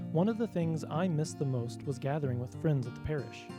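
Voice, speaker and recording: Over background music, a man with a fairly high pitch speaks very fast with lively intonation. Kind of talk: radio promo announcement. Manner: friendly, conversational.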